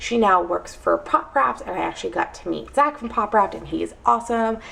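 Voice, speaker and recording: Against noticeable background noise, a woman with an American accent talks at a very fast pace. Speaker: vlogger. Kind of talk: casual vlog monologue.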